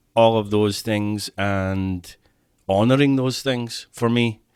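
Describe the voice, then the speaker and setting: In a Glaswegian accent, a man speaks very slowly with ordinary pitch variation, on a very clean recording with a silent background. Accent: Glaswegian Scottish. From Scotland (Clydebank, Glasgow). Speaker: therapist. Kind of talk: podcast interview.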